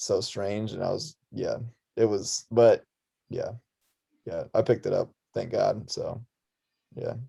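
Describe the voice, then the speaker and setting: Speech in an Arizona accent comes at a fairly slow pace with long, frequent pauses. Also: man. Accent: American, Arizona. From Russia, moved to Tucson, Arizona at six. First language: Russian. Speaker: musician and clothing designer. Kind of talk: casual chat. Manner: casual, filler-heavy.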